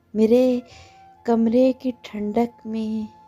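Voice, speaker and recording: Over music in the background, a woman talks at a fairly high pitch with monotone, flat intonation. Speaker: poetry reciter. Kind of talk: poetry reading.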